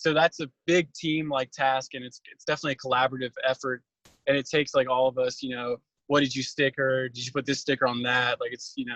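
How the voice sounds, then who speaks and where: Talking at a very fast pace, a man with an American accent holds a medium pitch in a monotone, flat delivery. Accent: some people think he has an. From Northern Virginia. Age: 20s. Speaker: job applicant. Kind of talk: job interview. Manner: hesitant, many fillers.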